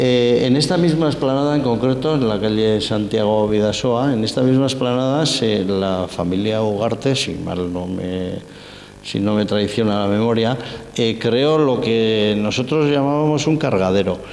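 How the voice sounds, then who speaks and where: Noticeable background noise and audible room echo surround a man at medium pitch. He talks at a fairly slow pace with ordinary pitch variation. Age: 60s. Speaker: sculptor giving guided exhibition tour. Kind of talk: guided tour explanation. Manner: halting, many fillers and restarts.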